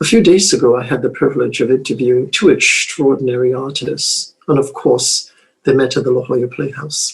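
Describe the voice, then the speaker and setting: A man's unremarkable speaking voice at medium pitch and a fairly quick pace. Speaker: interviewer host. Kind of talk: interview questions.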